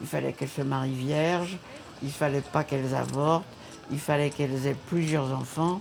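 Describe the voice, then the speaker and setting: A woman's very deep, low voice with fairly even intonation, music in the background. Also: moderate pace. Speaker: feminist activist. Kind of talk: documentary interview. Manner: hesitant with frequent fillers.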